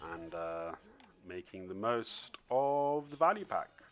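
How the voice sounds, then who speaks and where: A quiet man with lively intonation. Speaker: gaming youtuber. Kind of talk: gameplay tutorial commentary. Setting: at home, others sleeping. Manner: low-toned, subdued; quiet, holding back volume.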